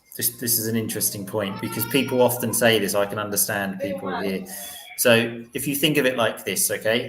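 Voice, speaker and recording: Over noticeable background noise, a man at medium pitch speaks at a fairly quick pace with ordinary pitch variation. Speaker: English teacher and podcaster. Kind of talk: casual chat.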